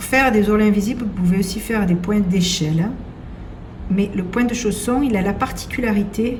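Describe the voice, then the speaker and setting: With a southern French accent, a woman speaks at a moderate pace in a medium pitch with ordinary pitch variation over noticeable background noise. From southern France. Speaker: seamstress. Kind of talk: sewing tutorial.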